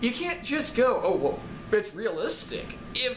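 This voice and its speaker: A man shouts loudly at an extremely high pitch, fairly slow and with lively intonation, with music in the background and audible room echo. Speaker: game reviewer. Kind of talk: rant review. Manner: loud, yelling.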